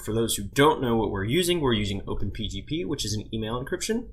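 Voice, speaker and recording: A man is mumbling. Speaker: tech tutorial maker. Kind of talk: screen-recorded software tutorial. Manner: mumbling, casual.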